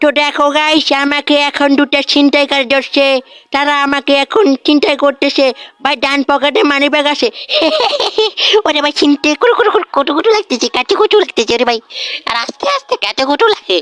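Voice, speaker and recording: This is a cartoonish character voice. It is pitched high. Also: moderate pace. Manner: chatty vlogger patter.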